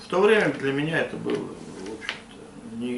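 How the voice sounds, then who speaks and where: Amid noticeable background noise and audible room echo, a man with a fairly high pitch speaks with lively intonation. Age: 60s. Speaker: Cossack elder. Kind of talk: interview. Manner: halting.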